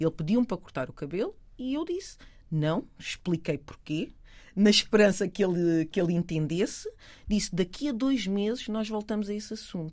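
A woman speaks at a moderate pace in a normal speaking voice, her pitch medium and her intonation lively. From Portugal, Lisbon south bank. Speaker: educational consultant. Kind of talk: casual chat.

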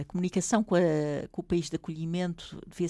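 On a very clean recording against a silent background, a woman speaks. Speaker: author and former lecturer. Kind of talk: interview. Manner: halting.

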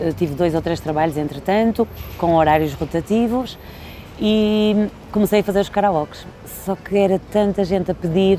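A woman speaks at a moderate pace with a medium pitch, very even loudness and ordinary pitch variation. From Portugal. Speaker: event host and entertainer. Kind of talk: interview. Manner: animated.

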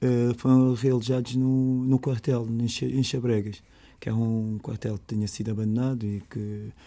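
A man's dark, mellow tone at medium pitch, monotone and flat in intonation. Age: 30s. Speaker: resident of a housing estate. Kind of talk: interview. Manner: halting, with repetitions.

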